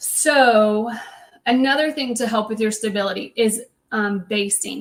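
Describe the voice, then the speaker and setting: Speaking with a normal speaking voice, a woman keeps a fairly high pitch and fairly even intonation. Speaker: sewing machine educator. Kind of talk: live product demonstration. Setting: livestream.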